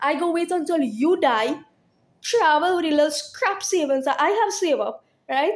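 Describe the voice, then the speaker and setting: An animated woman with very wide pitch swings and very even loudness. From Trinidad. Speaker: vlogger. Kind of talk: monologue rant. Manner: repetitive, many fillers (right?).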